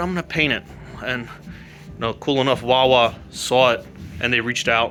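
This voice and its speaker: With music in the background, a man talks at medium pitch with ordinary pitch variation. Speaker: artist, painter and car builder. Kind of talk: walkthrough tour, casual monologue. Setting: in his studio. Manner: halting, pauses on words; casual, loose.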